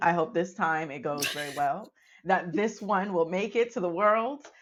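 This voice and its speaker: An unremarkable speaking voice from a woman with an American accent, fairly low in pitch, with lively intonation at a moderate pace. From Arizona. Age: 30s. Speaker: podcast co-host. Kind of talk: casual chat.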